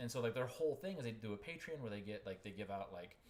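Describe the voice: A man at a fast pace, fairly low in pitch, with a slightly mellow tone and lively intonation.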